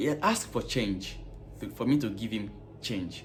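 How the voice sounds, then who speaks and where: Somewhat breathy, a man with an African accent speaks with lively intonation. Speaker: vlogger and gas station worker. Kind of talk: casual vlog monologue.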